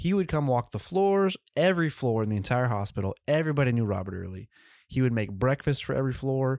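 On a very clean recording with a silent background, a man talks at a very fast pace with very wide pitch swings, in a dry, close sound with no echo. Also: medium pitch for a man. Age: young. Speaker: podcast host. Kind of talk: casual interview.

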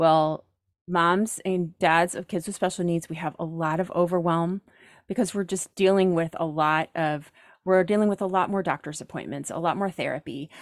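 An unremarkable speaking voice with an American accent moves at a moderate pace with fairly even intonation, recorded dry and close with no echo on a very clean track with a silent background. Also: woman, fairly low pitch for a woman. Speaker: professional organizer. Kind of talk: casual chat.

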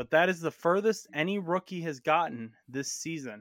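This is a normal speaking voice with lively intonation at a moderate pace. The sound is dry and close with no echo, in a very clean recording with a silent background. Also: man. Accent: American. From Indiana. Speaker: sports podcast host. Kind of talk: casual sports chat. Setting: home bedroom.

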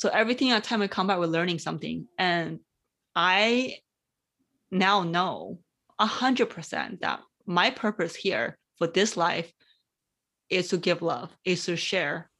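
At a fairly slow pace with long, frequent pauses, a woman speaks at a medium pitch with ordinary variation, her bright, sharp tone carrying vocal fry. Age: 30s. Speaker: podcast co-host. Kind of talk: casual chat.

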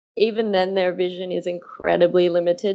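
With an Australian accent, a woman speaks at medium pitch and a moderate pace. Her intonation is monotone and flat. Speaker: velvet worm researcher. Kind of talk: interview.

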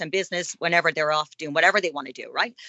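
The speaker is a woman. She talks with a Dublin accent. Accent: Dublin Irish. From Ireland, Dublin. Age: 50s. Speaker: author and blogger. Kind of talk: interview.

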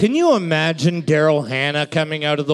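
A fairly high-pitched man at a moderate pace, with noticeable background noise. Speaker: co-host, trivia scorekeeper. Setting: live bar venue. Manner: loud, excitable, profane.

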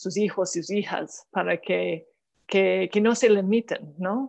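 This speaker is a woman with a mid-range pitch. She talks very slowly. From Canada. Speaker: diplomat. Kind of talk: interview. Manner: halting.

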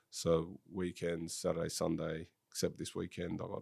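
In an Australian accent, a man with a very deep, low voice talks at a fairly quick pace in a flat monotone. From Sydney, Australia. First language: French. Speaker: football director, former professional footballer. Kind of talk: casual interview.

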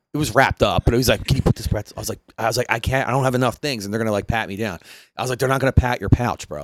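In a Philadelphia accent, a man at medium pitch talks at a very fast pace, the sound dry and close with no echo. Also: ordinary pitch variation. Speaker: podcast host. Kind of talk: casual chat.

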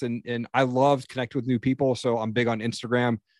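Over a quiet background, a man talks at a fairly quick pace in an ordinary speaking voice, with medium pitch and fairly even intonation. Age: 40s. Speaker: podcaster and coach. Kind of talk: casual interview. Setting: podcast recording.

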